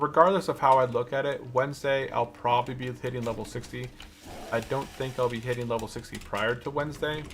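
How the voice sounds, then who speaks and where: A man speaks at a fairly quick pace in a medium pitch, with noticeable noise in the background. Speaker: video game streamer. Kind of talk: live gameplay commentary. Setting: live stream. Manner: casual, thinking aloud.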